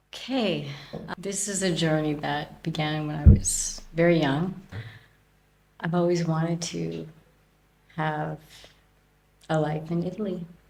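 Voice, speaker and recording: A woman's fairly low voice at a fairly slow pace, with long, frequent pauses, ordinary pitch variation, big swings in loudness and audible room echo. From Canada. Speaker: podcast guest, expat. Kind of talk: interview.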